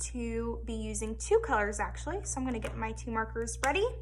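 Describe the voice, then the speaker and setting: An animated voice comes through at a moderate pace. Audible room echo and noticeable background noise accompany it. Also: woman. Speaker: elementary school art teacher. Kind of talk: tutorial for young children. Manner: animated, encouraging teacher tone.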